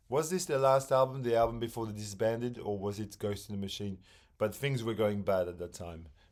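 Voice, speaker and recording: Speaking at a fairly quick pace with a non-native accent, a man is heard on a very clean recording with a silent background. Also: medium pitch for a man, ordinary pitch variation. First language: not English. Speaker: music podcaster, former teacher. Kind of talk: casual monologue about records. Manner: halting, many fillers.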